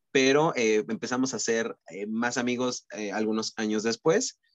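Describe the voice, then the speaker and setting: A man talks with fairly low pitch and fairly even intonation. He has a normal speaking voice. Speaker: podcast co-host, communication student. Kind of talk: casual chat.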